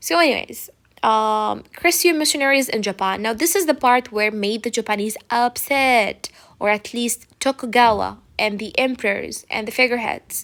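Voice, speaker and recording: Using an unremarkable speaking voice, a woman talks at a moderate pace in a fairly high pitch with lively intonation. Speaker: teacher. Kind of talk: lecture. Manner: casual.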